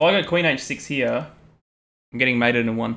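A man with an Australian accent, a bright, sharp tone, medium pitch and ordinary pitch variation. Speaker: chess streamer. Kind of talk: casual live stream chat while playing chess. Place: home room.

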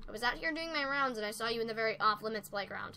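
Using a put-on character voice, a woman races along at a very fast pace and a fairly high pitch over clear background noise. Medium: solo performance. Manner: firm, dry.

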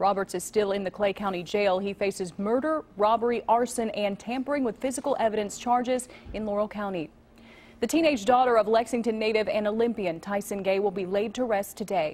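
A woman talks at a fairly quick pace with a fairly high pitch and ordinary pitch variation, in an unremarkable speaking voice. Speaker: news anchor. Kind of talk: local TV newsreading, brisk and conversational. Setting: studio. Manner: clear, polished, upbeat.

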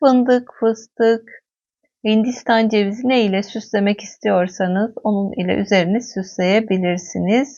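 Delivered in an ordinary speaking voice, the speech moves at a fairly slow pace with fairly even intonation. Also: woman, fairly high pitch for a woman. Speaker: cooking video host. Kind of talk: cooking tutorial.

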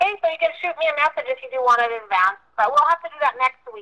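A woman with a high, bright and sharp voice speaks very fast in a raised, projected voice, with very wide pitch swings and big swings in loudness. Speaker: payroll or work scheduling contact. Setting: phone.

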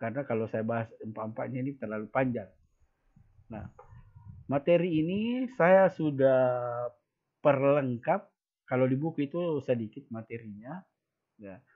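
In a quiet setting, a man of medium pitch speaks at a moderate pace with lively intonation, big swings in loudness, and long, frequent pauses. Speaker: school teacher. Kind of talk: online class lesson. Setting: video call. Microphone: webcam.

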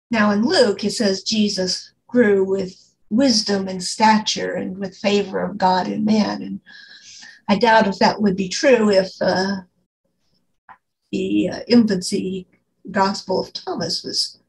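Slowish and fairly even in intonation, a woman's voice shows vocal fry and long, frequent pauses. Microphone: video call.

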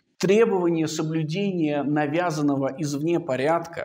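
A man speaks at a fairly slow pace. His fairly high pitch stays fairly even in intonation. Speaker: philosophy researcher. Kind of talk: academic seminar talk. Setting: seminar. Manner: unhurried, measured; formal.

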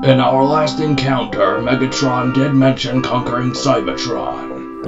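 Loud music plays in the background. Over it, a man does a put-on character voice at a moderate pace. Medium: audio drama. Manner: solemn, commanding.

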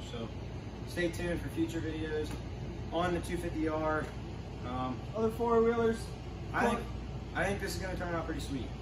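Long, frequent pauses break up moderately paced speech, with noticeable background noise throughout. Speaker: teen garage vlogger. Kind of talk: casual vlog chat. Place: garage. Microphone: camera far.

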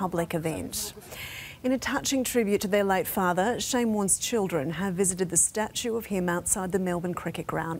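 Here a woman talks in an Australian accent. Her pitch shows ordinary variation. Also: medium pitch for a woman, moderate pace. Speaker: news presenter. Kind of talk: TV news read. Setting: studio.

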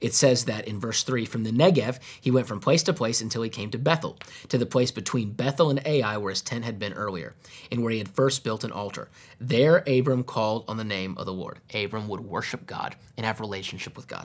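Moving at a fairly quick pace, a man talks with ordinary pitch variation. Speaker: pastor teaching. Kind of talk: Bible teaching. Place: studio.

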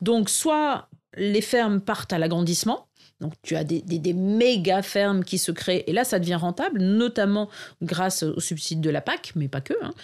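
At a fairly slow pace, a woman with a plain, everyday voice and a medium pitch talks with lively intonation on a very clean recording with a silent background. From northern France, Arras. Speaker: market gardener and permaculture consultant. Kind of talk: interview conversation.

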